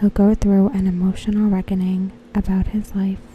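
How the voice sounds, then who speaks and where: Soft-spoken and relaxed in tone, the voice comes through noticeable background noise. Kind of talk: soft-spoken ASMR talk to camera, reading fan predictions. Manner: soft-spoken, relaxed.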